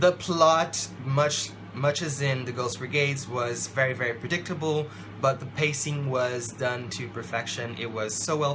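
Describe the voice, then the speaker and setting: Moderate-paced male speech at a medium pitch, with noticeable background noise and audible room echo. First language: not English. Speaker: book vlogger. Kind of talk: book review monologue. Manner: animated.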